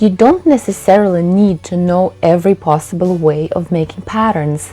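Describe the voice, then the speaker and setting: A woman speaks at a moderate pace with a Russian accent and a medium pitch. Background noise is noticeable. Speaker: textile designer and painter. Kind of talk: youtube talking-head tutorial.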